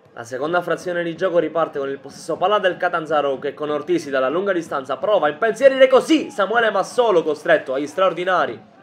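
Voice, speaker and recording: This man has a high pitch and lively intonation, talking very fast with hardly any pauses. Noticeable background noise runs underneath. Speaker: sports commentator. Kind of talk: sports match highlights commentary. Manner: fast, clipped, rattling off match events; neutral, energetic play-by-play delivery.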